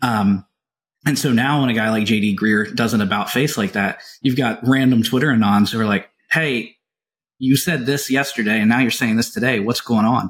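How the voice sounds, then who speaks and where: A man with a Southern US accent, fairly even intonation, very clean recording with a silent background. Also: medium pitch for a man. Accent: Southern US drawl. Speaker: podcast co-host. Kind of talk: casual interview chat.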